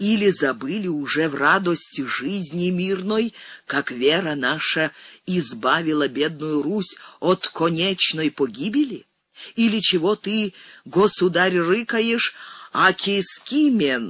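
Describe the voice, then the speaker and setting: Here a man puts on a character voice that sounds resonant and high-pitched. He delivers it at a fairly slow pace. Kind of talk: church sermon. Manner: thundering, preaching, righteous.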